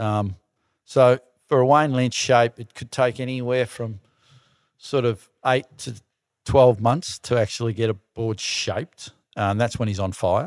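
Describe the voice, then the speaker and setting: A man with an Australian accent at medium pitch, fairly slow with long, frequent pauses and ordinary pitch variation, in a very clean recording with a silent background and a dry, close sound with no echo. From Melbourne western suburbs, Australia. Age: 60s. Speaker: surfing industry entrepreneur. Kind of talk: casual chat. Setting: studio with small audience.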